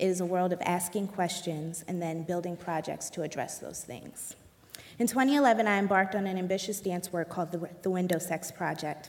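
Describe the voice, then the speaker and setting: A woman speaks in a plain, everyday voice, fairly low in pitch. Her pace is moderate and her pitch varies in an ordinary way. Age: 20s. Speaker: dancer and choreographer. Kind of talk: panel discussion.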